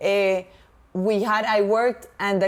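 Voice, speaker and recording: A woman with a Latin American accent speaks at a fairly slow pace and a medium pitch, her intonation monotone and flat. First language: Spanish. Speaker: podcast co-host. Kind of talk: casual chat.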